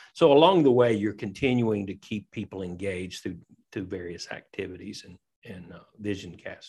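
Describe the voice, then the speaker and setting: A man speaks at a moderate pace with a Southern US accent, his pitch fairly low. His pitch varies in an ordinary way while his loudness swings widely. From Tennessee. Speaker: pastor and leadership coach. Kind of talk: interview conversation.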